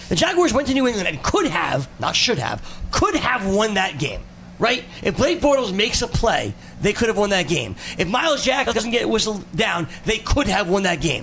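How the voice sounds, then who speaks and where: The voice swings very widely in pitch but keeps a very even loudness. Background noise is noticeable. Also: man, high pitch for a man. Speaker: radio host. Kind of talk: sports radio banter. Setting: studio. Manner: quick, bantering, jokey.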